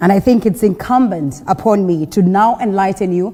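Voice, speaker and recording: A woman with a Kenyan accent speaks at a moderate pace in a medium pitch with ordinary pitch variation, with noticeable background noise behind her. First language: Kenyan local language. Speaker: TV morning show host. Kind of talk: news and talk show presenting. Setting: TV studio on location in Mombasa.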